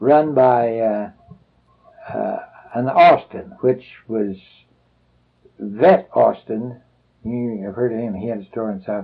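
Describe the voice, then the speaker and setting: A man's medium-pitched voice in a Midwestern American accent, very slow with long, frequent pauses, big swings in loudness and ordinary pitch variation. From Salina, Kansas. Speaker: retired postal worker. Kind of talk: oral history interview answer. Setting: at home.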